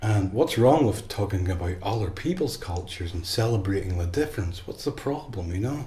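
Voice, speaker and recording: With an Irish accent, a man speaks fairly quickly in a fairly low, dark, mellow and somewhat breathy voice, his intonation lively and some room echo audible. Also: hardly any pauses. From Ireland. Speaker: tarot deck creator and artist. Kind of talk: opinion monologue to camera. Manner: halting, with repeated false starts.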